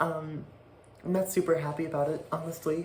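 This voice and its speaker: A woman talks with fairly even intonation at a moderate pace, noticeable background noise audible behind her. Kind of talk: casual talk to camera. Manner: hesitant, halting.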